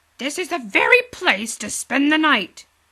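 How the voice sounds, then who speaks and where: Using a put-on character voice, a woman growls at a high pitch, moving at a moderate pace with very wide pitch swings. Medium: read story. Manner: polite, quacking.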